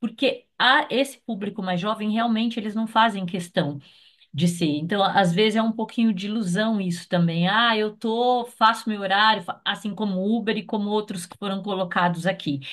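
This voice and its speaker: Against a quiet background, a woman uses an ordinary speaking voice at medium pitch, moderate pace and ordinary pitch variation. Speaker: consultant. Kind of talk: meeting discussion.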